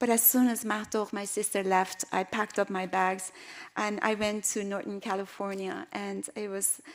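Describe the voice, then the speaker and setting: A woman with an Iranian accent and a monotone, flat intonation. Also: medium pitch for a woman, moderate pace. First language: Persian. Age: 60s. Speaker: artist and filmmaker. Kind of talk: lecture. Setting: stage with audience. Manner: halting, many fillers.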